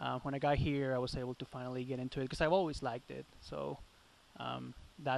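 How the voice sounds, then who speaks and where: A man speaks at a moderate pace in a Spanish accent. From Chile. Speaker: metal drummer. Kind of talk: casual interview.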